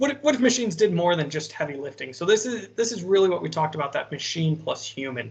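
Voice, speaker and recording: Speaking at a very fast pace, a man uses a high pitch with very wide pitch swings. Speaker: AI consultant panelist. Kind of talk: panel presentation. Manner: repetitive filler-heavy, stammering restarts.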